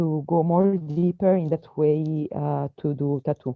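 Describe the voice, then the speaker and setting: A woman speaks with a non-native accent. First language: not English. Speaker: tattoo artist. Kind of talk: casual chat. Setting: video call. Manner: halting.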